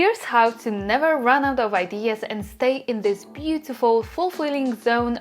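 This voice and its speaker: A woman with a Polish accent talks at a fairly high pitch and a moderate pace. Her intonation is lively, and music plays in the background. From Poland. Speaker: YouTuber. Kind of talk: vlog talk to camera.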